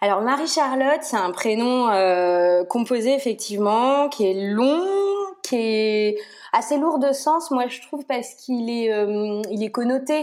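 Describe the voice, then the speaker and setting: Speaking very slowly, a woman uses a high voice with ordinary pitch variation. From Brittany, France. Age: 30s. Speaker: pediatric nurse and mother. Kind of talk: casual interview. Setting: remote call. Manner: chatty, hesitant with fillers.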